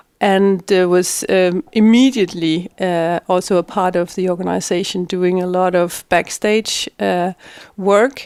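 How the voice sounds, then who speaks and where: Speech comes at a fairly slow pace in a Danish accent with fairly even intonation. The sound is dry and close with no echo. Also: woman, medium pitch for a woman. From Denmark, Middelfart. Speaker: politician. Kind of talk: interview. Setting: in person. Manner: halting, many fillers.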